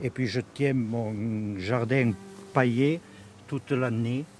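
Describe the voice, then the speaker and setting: The delivery from this man is very slow. His voice sits at a medium pitch. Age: 70s. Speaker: retired gardener and basket maker. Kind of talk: interview testimony. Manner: halting, many hesitations; clear, steady delivery.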